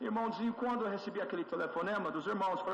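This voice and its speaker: Audible room echo and noticeable background noise accompany this man, whose pitch varies in an ordinary way. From USA. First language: English (speaking Portuguese). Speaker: church elder. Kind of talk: testimony. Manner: halting, with frequent fillers.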